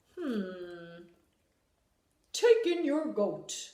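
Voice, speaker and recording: This female-sounding voice is a put-on character voice. A slight echo hangs on it. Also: medium pitch for a woman. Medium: read story. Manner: calm, deliberate, ponderous.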